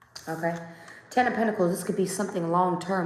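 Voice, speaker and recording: Audible room echo carries a woman's voice at a fairly low pitch. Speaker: tarot reader. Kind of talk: tarot reading. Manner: casual, conversational.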